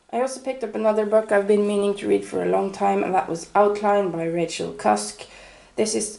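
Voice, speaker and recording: The voice belongs to a woman. Background noise is noticeable throughout. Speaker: book reviewer. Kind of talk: casual book haul talk.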